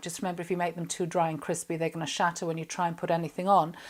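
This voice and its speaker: This is a woman speaking in an English accent. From England. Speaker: chef and cooking presenter. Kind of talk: cooking tutorial. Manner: chatty, casual.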